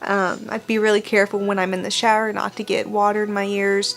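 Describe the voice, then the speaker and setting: A woman talks at a moderate pace in a fairly high pitch. Her intonation is monotone and flat. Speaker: vlogger talking about being deaf. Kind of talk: casual talk to camera. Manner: many fillers and restarts.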